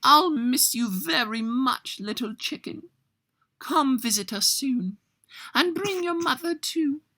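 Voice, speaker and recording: A put-on character voice with a high pitch talks at a fairly slow pace. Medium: read story.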